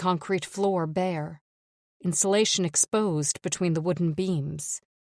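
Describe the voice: Plain reading aloud over a quiet background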